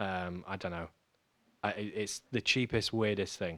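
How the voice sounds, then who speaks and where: A man talks at a fairly slow pace in a fairly low, bright and sharp voice, recorded dry and close with no echo. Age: 20s. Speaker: podcast co-host, amateur runner. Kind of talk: casual chat. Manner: halting, many fillers.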